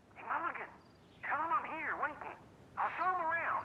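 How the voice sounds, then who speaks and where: A put-on character voice at an extremely high pitch, fairly quick in pace, over clear background noise. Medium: video game. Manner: blunt, coarse.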